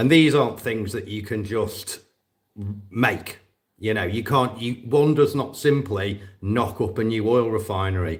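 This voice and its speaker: Speaking at a fairly slow pace, a man with a British accent has a medium pitch and a somewhat breathy voice. His pitch varies in an ordinary way. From northwest England. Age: 40s. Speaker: war veteran and drone operator vlogger. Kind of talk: live stream casual monologue. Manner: hesitant, repeating words.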